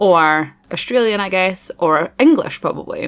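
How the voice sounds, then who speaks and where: A woman with a strong Scottish accent speaks with ordinary pitch variation. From Scotland. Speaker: gaming YouTuber. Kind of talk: voiceover commentary. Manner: fast; casual, chatty.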